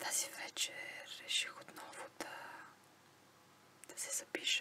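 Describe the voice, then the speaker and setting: Noticeable background noise sits under the recording. In it, a woman whispers at a fairly slow pace. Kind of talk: ASMR casual talk to camera. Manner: whispered.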